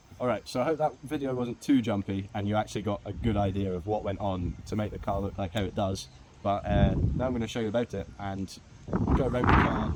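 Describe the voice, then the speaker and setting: Over noticeable background noise, someone with a British accent talks at a very fast pace with ordinary pitch variation. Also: man, fairly low pitch for a man. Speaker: car hobbyist vlogger. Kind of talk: casual vlog walkthrough.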